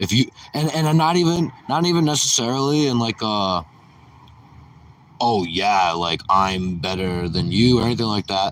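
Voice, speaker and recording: Loud and at a moderate pace, a man speaks at a medium pitch with very wide pitch swings. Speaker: stand-up comedian streamer. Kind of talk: casual livestream chat. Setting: outdoors. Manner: rambling, halting with many fillers.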